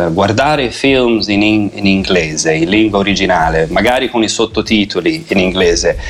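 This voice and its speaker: A fairly low-pitched man speaks at a moderate pace with lively intonation and very even loudness, barely pausing. Noticeable background noise sits behind him. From Italy, Tuscany (Lucca). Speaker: English teacher. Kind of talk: radio interview.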